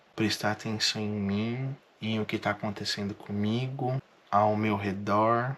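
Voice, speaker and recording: Speaking at a very slow pace, a man keeps a medium pitch and a monotone, flat intonation. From Brazil, interior of São Paulo state (Marília). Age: 30s. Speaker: vlogger. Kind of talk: personal vlog monologue.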